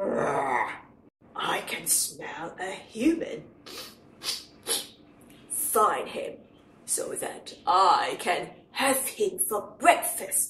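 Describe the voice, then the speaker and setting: A put-on character voice, high and very slow, with long, frequent pauses. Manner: menacing, gruff.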